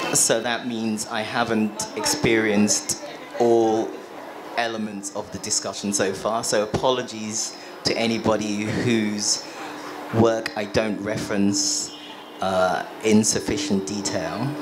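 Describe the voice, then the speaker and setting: Through noticeable background noise and audible room echo, a man with a fairly low pitch speaks at a fairly slow pace with fairly even intonation. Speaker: artist and writer, discussion moderator. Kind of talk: panel discussion moderation.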